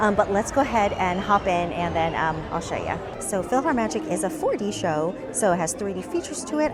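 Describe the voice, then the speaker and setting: A woman at a medium pitch speaks very fast with very wide pitch swings, backed by music and audible room echo. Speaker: theme park vlogger. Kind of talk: casual vlog narration. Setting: outdoors at a theme park.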